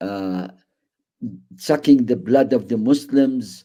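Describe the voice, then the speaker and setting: A man's dark, mellow tone with an Arabic accent, a very slow pace and ordinary pitch variation. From Iraq, Baghdad. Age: 80s+. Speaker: Holocaust survivor. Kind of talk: testimony.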